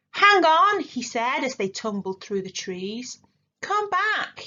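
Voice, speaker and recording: A put-on character voice, female-sounding and high-pitched, with very wide pitch swings at a fairly slow pace. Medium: read story.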